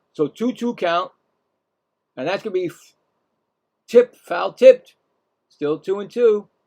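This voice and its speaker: A man with a Brooklyn accent speaks in a high voice for a man, his dark, mellow tone sounding dry and close with no echo, his loudness swinging widely between long, frequent pauses. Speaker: live game play-by-play streamer. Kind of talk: live play-by-play commentary. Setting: live stream. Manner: casual, halting with fillers.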